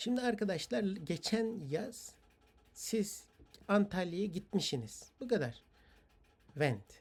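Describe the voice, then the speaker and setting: Very slow speech with long, frequent pauses on a very clean recording with a silent background. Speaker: English teacher. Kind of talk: lecture. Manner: rambling with hesitations.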